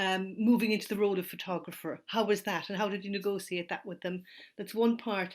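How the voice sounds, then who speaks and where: A woman with an Irish accent speaks at a fairly quick pace and a medium pitch, her intonation monotone and flat. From Ireland. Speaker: audience member. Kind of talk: audience question. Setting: online talk.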